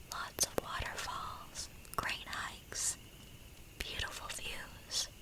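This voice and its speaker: Someone is whispering. Noticeable background noise sits behind the voice. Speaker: ASMR narrator. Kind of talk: narrating a reader's first-person woods encounter story. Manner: soft-spoken mixed with whispering.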